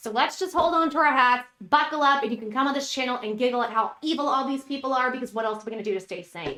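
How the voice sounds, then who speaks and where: A high-pitched woman at a very fast pace, bright and sharp, animated, with ordinary pitch variation. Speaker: YouTube news commentator. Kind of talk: casual vlog commentary. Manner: chatty, animated.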